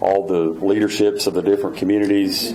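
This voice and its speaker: A man with an Oklahoma accent talks at a moderate pace, with audible room echo and noticeable background noise. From Oklahoma, Tulsa. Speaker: state official. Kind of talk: Q&A answer at luncheon. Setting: luncheon with audience. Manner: halting, many fillers.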